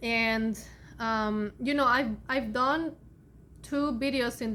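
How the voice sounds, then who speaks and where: A woman's fairly high, bright and sharp voice at a very slow pace, in a very clean recording with a silent background. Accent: Spanish. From Colombia (Bogota). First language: Spanish. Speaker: spiritual content creator, Akashic Records reader. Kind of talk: casual vlog talk. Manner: halting, many fillers.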